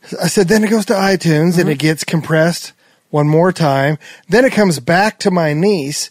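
Speaking with a Midwestern accent, a man uses a high pitch at a fairly quick pace. His loudness is very even, and the sound is dry and close with no echo. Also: ordinary pitch variation. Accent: general American Midwest. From Nebraska. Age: 50s. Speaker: podcast host and songwriter. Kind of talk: casual interview chat.

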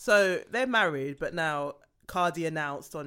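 An animated tone at a moderate pace comes through in a very clean recording with a silent background. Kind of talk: casual chat. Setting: studio. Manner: laughs often, animated.

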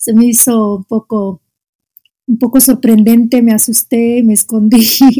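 Speaking fairly slowly, a woman with an Arabic accent has a dark, mellow tone and a monotone, flat intonation. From Algeria, Oran. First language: Arabic (speaking Spanish). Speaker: Arabic teacher. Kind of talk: casual interview. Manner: halting, frequent repetitions.

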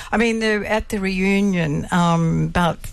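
Intonation stays fairly even in this voice with an Australian accent. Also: woman. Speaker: daughter of a war veteran. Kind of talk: radio interview. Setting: studio.

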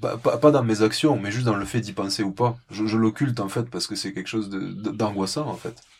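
A somewhat breathy man at medium pitch with a slight southwestern French accent, on a very clean recording with a silent background. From southwest France, rural. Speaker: ornithologist. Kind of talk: interview. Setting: small wooden hut above penguin colony, Antarctica. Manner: halting, many repetitions.

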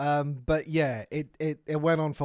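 On a very clean recording with a silent background, a man with a British accent speaks at a fairly slow pace. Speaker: podcast co-host. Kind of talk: casual chat.

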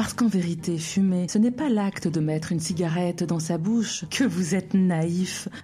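A woman speaks at a moderate pace with hardly any pauses and very even loudness. Her fairly low pitch shows ordinary variation against noticeable background noise. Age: 30s. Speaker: podcast host. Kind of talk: scripted monologue.

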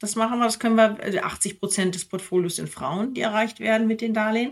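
Woman with an unremarkable speaking voice, medium pitch and ordinary pitch variation, at a fairly quick pace. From Germany, near Minden (East Westphalia). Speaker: investment entrepreneur. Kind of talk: interview conversation.

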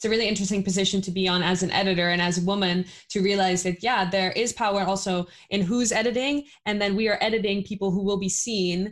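A woman of medium pitch rushes along at a very fast pace, her loudness very even and her intonation fairly even. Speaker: podcast host. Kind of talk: interview.

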